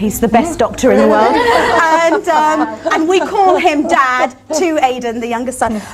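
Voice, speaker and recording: Amid crowd noise and audible room echo, a woman with a high pitch talks at a fairly slow pace, her pitch swinging very widely and hardly any pauses breaking her speech. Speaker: barrister. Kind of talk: panel talk. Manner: not soft-spoken.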